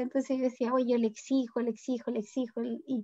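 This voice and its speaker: A woman talks with a high-pitched voice. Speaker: parent of a child who stutters. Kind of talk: interview.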